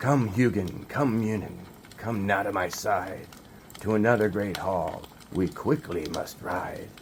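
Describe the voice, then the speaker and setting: A man puts on a character voice, fairly low in pitch, talking at a fairly slow pace over clear background noise. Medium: read story.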